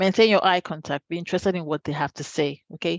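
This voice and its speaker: The speech moves at a very fast pace against a quiet background. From Nigeria, Lagos. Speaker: career coach. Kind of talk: workshop presentation.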